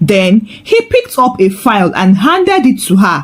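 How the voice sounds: The pitch takes big swings. The pace is fairly slow. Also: woman.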